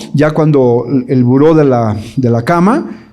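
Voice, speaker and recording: A man with a dark, mellow tone speaks amid audible room echo. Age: 60s. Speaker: evangelical theologian and speaker. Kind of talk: conference talk to parents. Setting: live audience at a conference.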